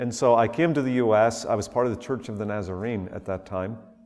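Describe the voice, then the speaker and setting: At a moderate pace, a man speaks with a Northern Irish accent. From Northern Ireland. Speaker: visiting preacher. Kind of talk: sermon. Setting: church.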